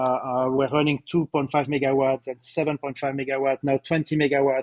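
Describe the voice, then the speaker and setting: Speaking with a slight French accent at a fairly quick pace, a man keeps a fairly high pitch and monotone, flat intonation. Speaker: company CEO presenting results. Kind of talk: corporate webcast presentation. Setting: live webcast. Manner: hesitant, many fillers and repetitions.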